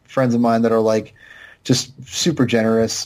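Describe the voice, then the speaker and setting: A man's medium-pitched voice with a dark, mellow tone, fairly slow in pace, on a very clean recording with a silent background. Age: 30s. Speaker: podcast guest. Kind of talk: casual chat.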